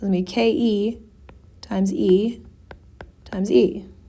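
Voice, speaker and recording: Here is a woman's voice, an unremarkable speaking voice, pitched at a medium level and carried by lively intonation. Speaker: physics tutor. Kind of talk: tutorial. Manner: casual.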